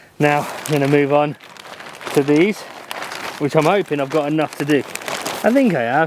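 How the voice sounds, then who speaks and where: At a moderate pace, a man talks with ordinary pitch variation and long, frequent pauses over noticeable background noise. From English Midlands. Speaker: allotment gardening vlogger. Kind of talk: casual vlog talk to camera. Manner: casual, hesitant with fillers.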